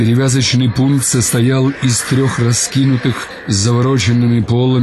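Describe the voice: Reading aloud, plain.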